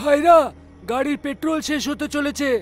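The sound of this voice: With faint music in the background, a man performs a cartoonish character voice at an extremely high pitch.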